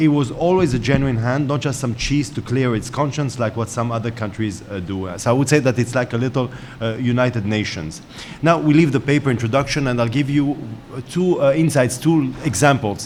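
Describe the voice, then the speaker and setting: At a fairly quick pace, the speaker talks with an Israeli accent and ordinary pitch variation amid noticeable background noise and audible room echo. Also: man, medium pitch for a man. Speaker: panel moderator, journalist. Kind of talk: panel moderation. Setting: conference stage with audience. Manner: hesitant, many fillers.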